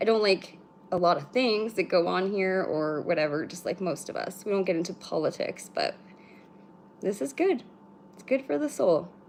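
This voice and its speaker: Mumbling in a Canadian accent, the voice has lively intonation. Its loudness swings a great deal. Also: woman, medium pitch for a woman. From British Columbia, Canada. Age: 30s. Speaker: spiritual livestream host. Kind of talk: casual livestream chat. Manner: fast, no pauses.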